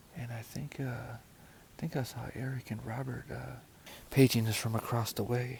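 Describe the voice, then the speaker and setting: Speaking quietly at a moderate pace, a man uses a medium-pitched, monotone, flat delivery with vocal fry. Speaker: hiking vlogger. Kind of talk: casual trail vlog narration. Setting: outdoors at a lakeside campsite. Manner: hushed, quiet; hesitant, many fillers.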